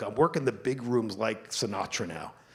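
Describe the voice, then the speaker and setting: A normal speaking voice with an American accent moves at a moderate pace with ordinary pitch variation. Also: man. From New Jersey. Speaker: marketing executive. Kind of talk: onstage interview.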